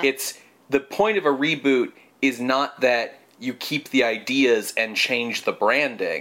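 A man with a bright, sharp tone and medium pitch speaks at a very slow pace. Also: ordinary pitch variation. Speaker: podcast host. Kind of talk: casual conversational, analytical.

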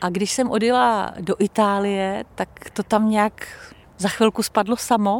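Medium-pitched woman at a fairly slow pace with fairly even intonation, a plain, everyday voice, in a dry, close sound with no echo. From Czech Republic. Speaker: former radio presenter. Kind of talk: interview.

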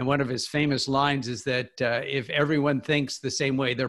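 On a very clean recording with a silent background, a man with an American accent uses a normal speaking voice at medium pitch, talking at a fairly quick pace with fairly even intonation. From US Midwest, Kansas. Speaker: financial columnist. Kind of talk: interview.

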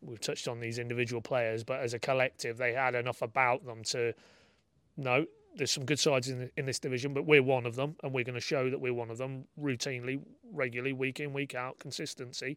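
A man speaks at a very fast pace with a northern English accent, his pitch sitting in the medium range. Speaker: football journalist. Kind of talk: casual chat.

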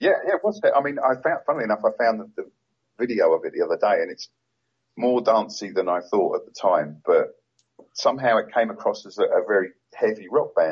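This man speaks with a London accent. His pace is fairly quick. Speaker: punk photographer, author and vocalist. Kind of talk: interview. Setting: phone or remote call.

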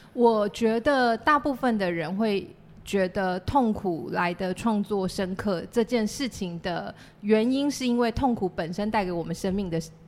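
Here a woman speaks in an unremarkable speaking voice with ordinary pitch variation. Her pace is fairly slow. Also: medium pitch for a woman. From Taiwan, Chiayi City. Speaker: playwright and theatre company founder. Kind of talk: casual interview chat.

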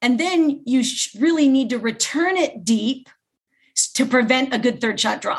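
With a Californian accent, a woman speaks fairly slowly in a high voice with ordinary pitch variation, pausing often and at length. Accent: Californian American. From US West Coast, Los Angeles. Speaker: pickleball instructor and champion. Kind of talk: interview.

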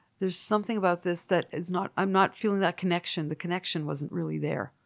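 A woman talks in an ordinary speaking voice at a fairly low pitch. Her pace is fairly quick and her intonation fairly even. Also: very clean recording, silent background. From Canada. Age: 50s. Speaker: musician. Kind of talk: casual chat.

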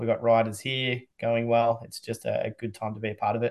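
Against a quiet background, a man with an Australian accent speaks at a medium pitch and moderate pace in a monotone, flat intonation. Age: 40s. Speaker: motorsport event promoter. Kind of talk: podcast interview. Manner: hesitant, many fillers.

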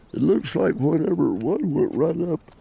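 A man speaks at a moderate pace with an American accent. His tone is dark and mellow, with vocal fry. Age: 80s+. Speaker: rancher and mountain lion hunter. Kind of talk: casual interview. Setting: outdoors on a ranch. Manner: halting.

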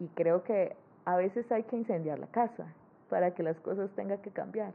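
A woman speaks at a moderate pace. Her pitch is medium, with ordinary pitch variation. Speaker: cartoonist. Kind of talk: interview conversation. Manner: cheerful.

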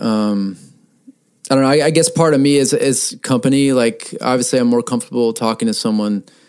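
This is an unremarkable speaking voice with lively intonation. The pace is fairly quick. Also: man. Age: 30s. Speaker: musician. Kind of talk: casual chat.

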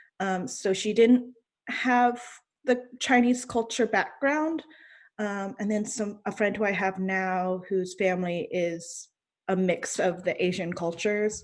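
A woman with an ordinary speaking voice, medium pitch and ordinary pitch variation, speaking at a fairly slow pace against a quiet background. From US South, North Carolina. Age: 20s. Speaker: adoptee panelist. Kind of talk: panel interview.

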